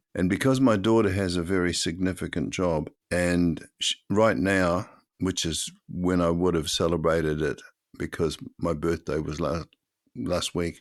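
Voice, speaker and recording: Against a quiet background, a man with a New Zealand accent and a very deep, low pitch speaks at a fairly slow pace with ordinary pitch variation. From New Zealand, Auckland. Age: 80s+. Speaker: podcast co-host. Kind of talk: casual chat. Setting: video call.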